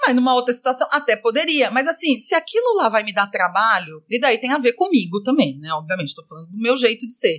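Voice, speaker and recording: Very fast and with hardly any pauses, a woman speaks at a high pitch with very wide pitch swings. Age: 40s. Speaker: school manager and mother. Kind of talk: casual chat.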